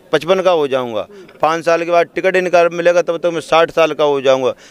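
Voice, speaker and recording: The voice has fairly even intonation and a dry, close sound with no echo, while noticeable background noise runs behind it. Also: man. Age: 50s. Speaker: election candidate. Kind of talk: interview.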